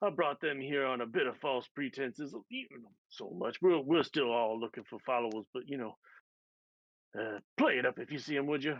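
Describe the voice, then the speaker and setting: A man's raspy, put-on character voice at a medium pitch and moderate pace, with ordinary pitch variation and big swings in loudness. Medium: actual play. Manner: rambling, filler-heavy.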